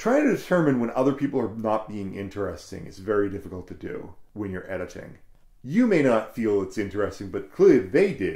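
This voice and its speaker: Fairly low in pitch and somewhat breathy, a man speaks at a fairly quick pace in a dark, mellow tone with lively intonation and big swings in loudness. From New England. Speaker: podcast host and audio drama producer. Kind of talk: casual chat. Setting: studio.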